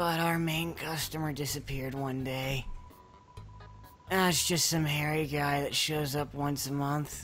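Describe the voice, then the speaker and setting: A put-on character voice speaks at a moderate pace in a low-to-middle pitch. Clear music plays in the background. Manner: awkward, unenthusiastic.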